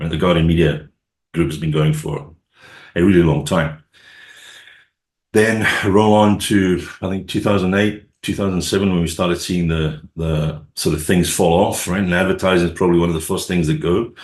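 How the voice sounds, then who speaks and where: Someone speaks with a Scottish accent at a moderate pace. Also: man, very deep, low pitch for a man. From Scotland. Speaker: sales and marketing executive. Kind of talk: podcast interview.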